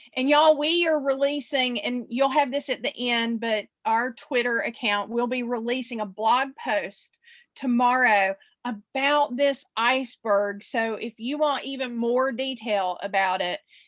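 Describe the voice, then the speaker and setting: A woman's high voice in a South Carolina accent, fairly slow, with ordinary pitch variation. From US South, South Carolina. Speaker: social media marketing expert. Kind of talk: webinar presentation.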